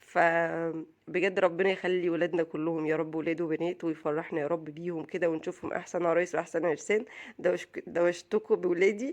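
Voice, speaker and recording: In an Egyptian accent, a woman speaks at a moderate pace with hardly any pauses. Her pitch is fairly low, her intonation fairly even, and the background is quiet. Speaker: vlogger, mother. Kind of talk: casual vlog talk.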